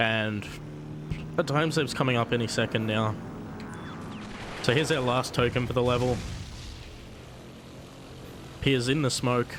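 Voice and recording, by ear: At a fairly slow pace with long, frequent pauses, a man speaks at a medium pitch with fairly even intonation and a fairly bright tone.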